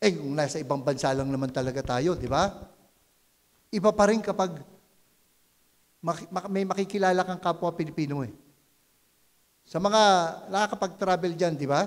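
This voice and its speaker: Long, frequent pauses break up this man's fairly quick speech. His pitch is high, with ordinary pitch variation. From Philippines. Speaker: pastor. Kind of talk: sermon. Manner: conversational, repeats words and restarts.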